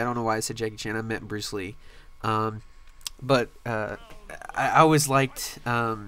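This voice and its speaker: This man has an unremarkable speaking voice at a medium pitch. He keeps a moderate pace with fairly even intonation. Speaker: gaming youtuber. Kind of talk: gameplay commentary.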